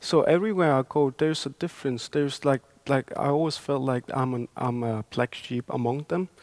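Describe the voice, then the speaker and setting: In a Greenlandic accent, a man talks at a fairly high pitch and a fairly quick pace with hardly any pauses and ordinary pitch variation, in a dry, close sound with no echo. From Greenland, Upernavik. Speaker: poet. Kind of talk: panel conversation.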